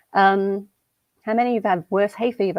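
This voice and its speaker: A woman with an Australian accent, medium in pitch, at a moderate pace. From Western Australia. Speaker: conference speaker. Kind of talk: conference talk. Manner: casual.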